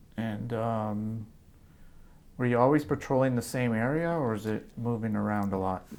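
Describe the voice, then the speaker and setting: A man with a normal speaking voice talks at a medium pitch. His pace is moderate and his pitch variation ordinary. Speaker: oral history interviewer. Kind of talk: interview questions.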